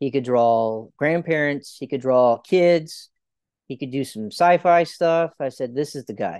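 A man with an unremarkable speaking voice talks fairly slowly at a fairly high pitch with ordinary pitch variation, in a dry, close sound with no echo and a quiet background. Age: 30s. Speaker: children's author and army officer. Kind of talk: interview.

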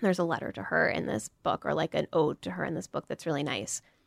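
Very fast and very deep, a woman's low-pitched voice with vocal fry makes very wide pitch swings, captured in a very clean recording with a silent background and a dry, close sound with no echo. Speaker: podcast co-host. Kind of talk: casual chat. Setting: studio.

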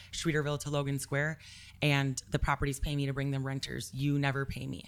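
A woman's very deep, low-pitched voice with an American accent, at a fairly quick pace, on a very clean recording with a silent background. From Milwaukee, Wisconsin. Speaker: real estate broker. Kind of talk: casual interview.

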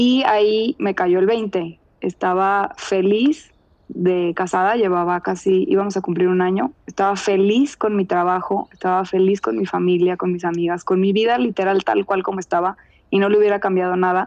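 An ordinary speaking voice from a woman at a medium pitch and moderate pace, very even in loudness, with ordinary pitch variation and a dry, close sound with no echo. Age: 30s. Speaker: contributor sharing personal story. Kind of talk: personal testimony.

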